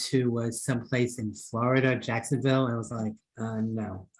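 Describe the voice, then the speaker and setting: With a New York accent, a man speaks at a moderate pace. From Queens, New York. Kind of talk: meeting feedback.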